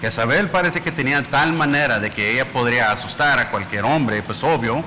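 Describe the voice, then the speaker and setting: A man is speaking at a moderate pace. There is noticeable background noise. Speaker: preacher. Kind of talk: sermon.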